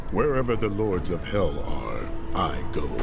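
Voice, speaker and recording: A man speaks at a moderate pace in a put-on character voice, with loud background noise behind him. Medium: machinima. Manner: terse, grave.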